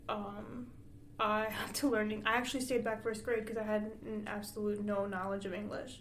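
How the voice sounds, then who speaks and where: There is audible room echo and noticeable background noise. A woman with a fairly high voice speaks at a moderate pace with fairly even intonation. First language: Spanish. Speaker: podcast co-host. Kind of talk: casual chat.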